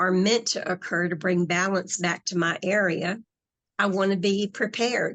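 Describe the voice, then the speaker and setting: At a fairly slow pace, a woman with an American accent speaks in an ordinary speaking voice at a medium pitch with fairly even intonation. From US South. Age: 60s. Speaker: hypnotherapist and spiritual author. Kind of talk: interview conversation.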